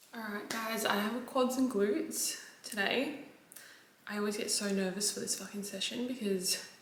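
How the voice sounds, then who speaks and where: A woman with a medium pitch and ordinary pitch variation is heard amid audible room echo and noticeable background noise. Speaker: fitness vlogger and online coach. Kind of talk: casual vlog. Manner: fast, filler-heavy chatter; quiet, holding voice down.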